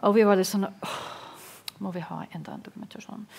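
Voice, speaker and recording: A woman talks at a fairly quick pace. Her intonation is fairly even. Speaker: peace research institute panelist; panelist. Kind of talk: panel debate. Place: meeting room. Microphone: headset.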